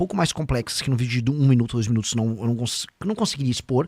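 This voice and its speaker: A dry, close sound with no echo, on a very clean recording with a silent background. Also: man. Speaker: political pre-candidate and internet personality. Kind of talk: podcast interview. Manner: fast.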